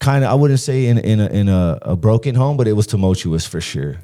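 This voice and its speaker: In a very clean recording with a silent background, a man with an American accent talks at a fairly quick pace with a dark, mellow tone and ordinary pitch variation. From San Diego, California. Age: 50s. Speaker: former prisoner turned motivational speaker. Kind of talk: podcast interview, life story. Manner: casual, halting with many fillers and restarts.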